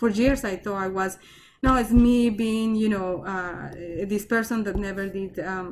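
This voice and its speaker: Speaking at a fairly slow pace, a woman with a Colombian accent uses a medium pitch and ordinary pitch variation. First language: Spanish. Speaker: research scientist. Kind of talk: talk and Q&A. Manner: halting, repetitive.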